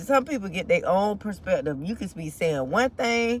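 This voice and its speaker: Speaking fairly slowly, a woman sounds somewhat breathy. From United States. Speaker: motivational vlogger. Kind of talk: casual motivational monologue. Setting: in a car in traffic.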